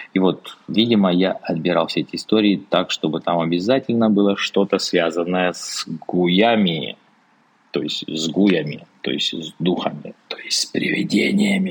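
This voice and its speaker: With a very deep, low voice and ordinary pitch variation, a man speaks at a fairly slow pace. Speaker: podcast host, sinologist. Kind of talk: reading aloud with commentary. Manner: unusual voice for the episode.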